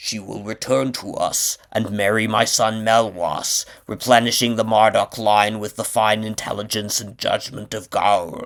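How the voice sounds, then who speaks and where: The put-on character voice moves at a moderate pace with hardly any pauses. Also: man, medium pitch for a man. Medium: read story. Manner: formal, courtly.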